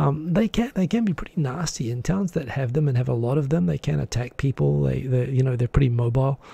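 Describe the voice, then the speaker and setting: With hardly any pauses, a man speaks at a very fast pace in a somewhat breathy voice of dark, mellow tone, using lively intonation, and the sound is dry with no echo. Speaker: livestream host. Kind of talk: casual live-stream commentary. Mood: amused storytelling. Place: home room. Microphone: studio mic.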